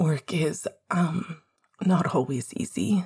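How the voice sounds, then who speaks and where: A put-on character voice, shaky and raspy, at a middle pitch. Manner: trembling voice.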